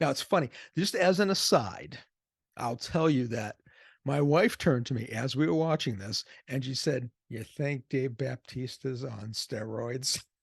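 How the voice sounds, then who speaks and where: Speaking with an American accent, a man has a medium-pitched, somewhat breathy voice, lively intonation and a fairly slow pace, recorded dry and close with no echo against a quiet background. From US Northeast, Boston area. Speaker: movie reviewer. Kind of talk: casual video review. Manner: conversational.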